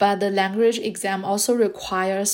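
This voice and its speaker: A woman talks at a fairly slow pace. Her medium-pitched voice stays monotone and flat. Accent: Chinese. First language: Mandarin Chinese. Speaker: podcast host, graduate student. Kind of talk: scripted monologue.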